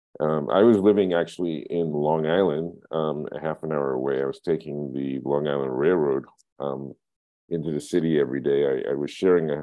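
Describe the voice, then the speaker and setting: Here a man with a New York accent talks at a fairly quick pace. His very deep, low pitch holds fairly even intonation. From Brooklyn, New York (East Flatbush). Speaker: filmmaker and photographer. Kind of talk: oral history interview. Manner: halting, many fillers and repetitions.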